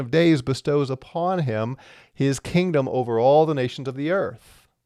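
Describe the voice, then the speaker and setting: Against a quiet background, an ordinary speaking voice is heard. Its pace is moderate and its intonation fairly even. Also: man. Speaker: Bible teacher. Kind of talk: Bible teaching.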